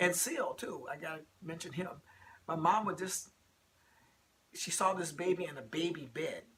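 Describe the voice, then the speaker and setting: A man with a high pitch speaks with fairly even intonation and long, frequent pauses over noticeable background noise. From US Midwest, Rockford, Illinois. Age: 60s. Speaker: interviewee. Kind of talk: interview. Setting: at home.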